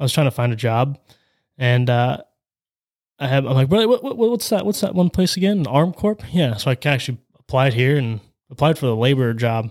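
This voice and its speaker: Lively intonation marks this man's medium-pitched voice, in a Midwestern American accent at a moderate pace on a very clean recording with a silent background. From Ohio, US Midwest. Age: 20s. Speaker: construction estimator. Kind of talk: casual interview.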